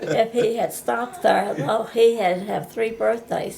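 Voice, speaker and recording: Noticeable background noise runs throughout. The delivery keeps a moderate pace. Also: woman. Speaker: grandmother being interviewed. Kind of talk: casual family interview.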